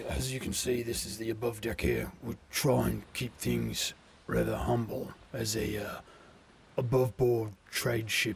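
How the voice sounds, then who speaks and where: Using a put-on character voice, a man talks at medium pitch. His delivery is fairly slow. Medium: actual play. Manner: hesitant, polite, full of pauses.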